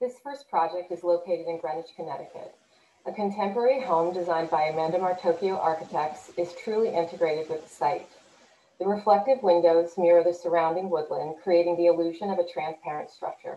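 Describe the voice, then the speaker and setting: With an American accent, a woman talks at a fairly quick pace and fairly low pitch, using ordinary pitch variation. Her loudness swings a lot, and room echo is audible. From New Jersey. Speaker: landscape architect. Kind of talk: scripted presentation. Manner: read from script. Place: home room. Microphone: webcam.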